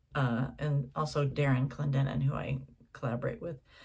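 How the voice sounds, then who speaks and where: A woman's very deep, low-pitched voice, somewhat breathy. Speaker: jazz singer and songwriter. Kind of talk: casual tutorial. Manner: slow; halting.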